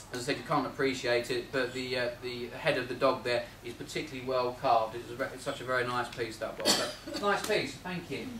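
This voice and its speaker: Noticeable background noise sits under a man talking at a fairly quick pace, his pitch medium with ordinary variation. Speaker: auctioneer giving valuations at a Rotary talk. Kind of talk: valuing antiques for a live audience, talking to members.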